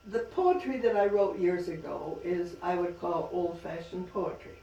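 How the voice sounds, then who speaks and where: A woman's voice over noticeable background noise. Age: 80s+. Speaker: author. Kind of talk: talk at a library reading.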